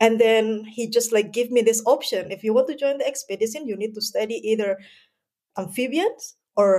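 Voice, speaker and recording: A woman with an Indonesian accent, fairly high in pitch, at a moderate pace with ordinary pitch variation. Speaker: researcher. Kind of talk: interview.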